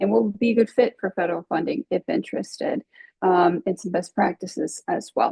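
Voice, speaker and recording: A woman at medium pitch uses lively intonation in a normal speaking voice. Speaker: regional planning grant coordinator. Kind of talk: webinar presentation.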